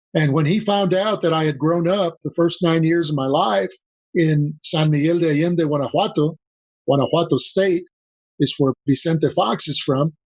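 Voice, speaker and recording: At a moderate pace, a man with a fairly high pitch speaks with ordinary pitch variation and very even loudness. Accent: Spanish. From Mexico, then US. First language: Spanish. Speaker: business consultant. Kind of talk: podcast interview.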